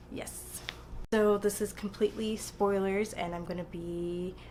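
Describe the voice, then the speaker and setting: The woman is soft-spoken, with a medium pitch. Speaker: book vlogger. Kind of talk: casual chat. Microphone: quiet audio, had to turn it up.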